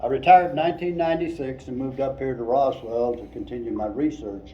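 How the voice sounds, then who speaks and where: Speaking at a moderate pace with fairly even intonation, a man at medium pitch is heard with audible room echo. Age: 80s+. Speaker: retired engineer and UFO researcher. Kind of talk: museum presentation.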